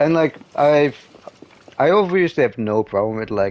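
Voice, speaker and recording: A man speaks with a non-native accent. Noticeable background noise is present. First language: not English. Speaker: gaming streamer. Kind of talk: casual chat. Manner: halting, many repetitions and fillers.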